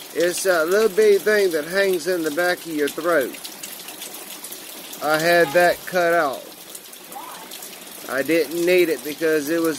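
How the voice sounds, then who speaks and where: A man with a high pitch and an American accent speaks at a fairly slow pace with long, frequent pauses. His intonation stays fairly even against noticeable background noise. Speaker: vlogger. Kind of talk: casual personal vlog.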